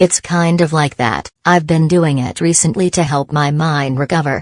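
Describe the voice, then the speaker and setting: A woman speaks at a moderate pace in a put-on character voice, growling at a very deep, low pitch with fairly even intonation and a dry, close sound with no echo. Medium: machinima.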